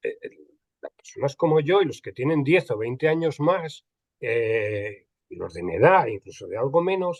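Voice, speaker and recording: Recorded dry and close with no echo, a man talks at a moderate pace while his loudness swings widely. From Spain, Andalusia. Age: 60s. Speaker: archival and records management expert. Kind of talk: panel conversation. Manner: hesitant, many repetitions and fillers.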